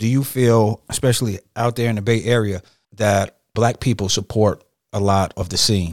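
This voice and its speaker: A man's fairly low voice at a moderate pace with fairly even intonation, dry and close with no echo, in a very clean recording with a silent background. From Detroit, US Midwest. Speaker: podcast host. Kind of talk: casual interview chat.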